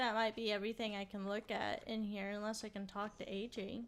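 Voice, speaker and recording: A woman speaks quietly in a fairly high voice at a fairly slow pace with fairly even intonation. The recording is very clean, with a silent background. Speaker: gaming video creator. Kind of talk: let's play commentary.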